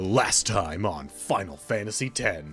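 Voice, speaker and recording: A man puts on a character voice, pitched fairly low. He speaks at a fairly slow pace over clear background music. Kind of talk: hyped-up narrator recapping the last episode. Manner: dramatic, intense, over the top.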